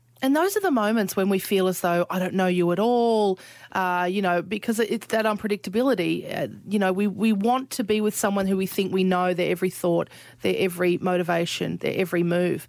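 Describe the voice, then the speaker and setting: On a very clean recording with a silent background, a woman with an Australian accent speaks at a fairly quick pace and medium pitch, her intonation fairly even and her loudness very even. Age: 40s. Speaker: podcast host. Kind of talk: casual chat.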